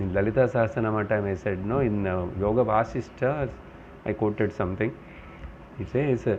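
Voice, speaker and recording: A man's medium-pitched voice comes through with audible room echo. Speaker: Vedanta teacher. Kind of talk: spiritual lecture.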